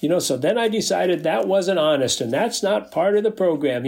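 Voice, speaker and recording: Speaking with an Upper Midwest accent, a man talks at a moderate pace and a high pitch. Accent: Upper Midwest American. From North Dakota. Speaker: recovering alcoholic and AA sponsor. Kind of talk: interview about recovery story. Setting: video call.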